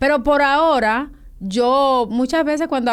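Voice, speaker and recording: On a very clean recording with a silent background, the woman's pitch varies in an ordinary way. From Dominican Republic, San Cristóbal. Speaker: novelist. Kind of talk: interview.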